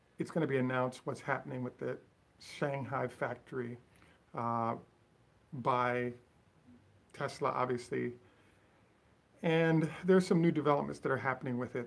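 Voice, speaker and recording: Mumbling at medium pitch, a man speaks with long, frequent pauses. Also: ordinary pitch variation. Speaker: Tesla commentary channel host. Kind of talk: solo video commentary. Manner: fast.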